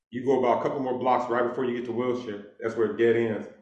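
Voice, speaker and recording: Through audible room echo, a man at medium pitch speaks at a very fast pace. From Los Angeles, Inglewood. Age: 50s. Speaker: author and former criminal. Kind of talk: casual interview.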